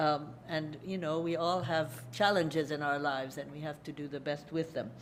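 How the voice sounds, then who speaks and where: At a moderate pace, a woman talks in a very deep, low pitch with fairly even intonation, and the room echo is audible. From Hungary, then USA. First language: Hungarian. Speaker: lecturer. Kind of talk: lecture. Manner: halting.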